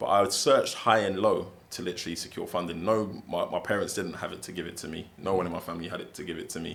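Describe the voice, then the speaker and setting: Very deep and low, a man's voice with a London accent races along at a very fast pace, his intonation fairly even. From England, South London. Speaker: barrister and football agent. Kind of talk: interview. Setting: in-person podcast sit-down.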